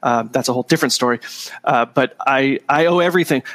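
Recorded dry and close with no echo, a man with an American accent talks at a fairly quick pace with ordinary pitch variation. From Southern California, Orange County. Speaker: psychology professor. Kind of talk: interview conversation.

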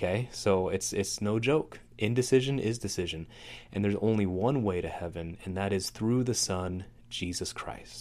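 With an unremarkable speaking voice, a man talks at a moderate pace and fairly low pitch with ordinary pitch variation. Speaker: podcast host. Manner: casual, conversational, with humor.

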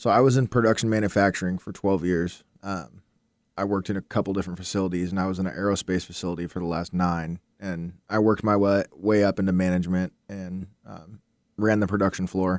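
A man's very deep, low voice at a very fast pace, with fairly even intonation, dry and close with no echo, in a very clean recording with a silent background. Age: 30s. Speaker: insurance agent. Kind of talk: interview. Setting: studio.

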